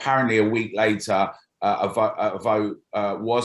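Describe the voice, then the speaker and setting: A flat, monotone delivery in a London accent. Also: man. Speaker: campaign group founder. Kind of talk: political interview.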